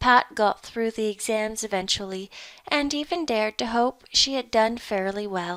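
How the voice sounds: Pitch varies in an ordinary way throughout a natural reading voice.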